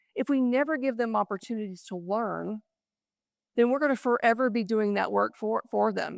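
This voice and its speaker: A woman with an American accent talks at a fairly quick pace. The recording is very clean, with a silent background and a dry, close sound with no echo. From Texas Panhandle (Happy, Texas). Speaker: keynote speaker, business leader. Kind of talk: keynote speech. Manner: fast.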